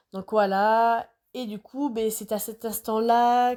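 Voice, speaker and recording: A woman speaks at a very slow pace, her fairly high voice having a dark, mellow tone and fairly even intonation. The recording is very clean, with a silent background. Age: 20s. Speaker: podcaster. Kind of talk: personal monologue podcast. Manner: hesitant, many filler words.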